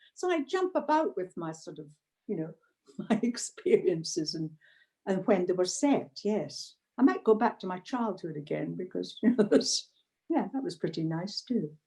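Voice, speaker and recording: A woman with a medium pitch and a dark, mellow, somewhat breathy tone speaks at a moderate pace, with very wide pitch swings and big swings in loudness. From Scotland. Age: 80s+. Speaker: retired blogger. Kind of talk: interview. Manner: halting.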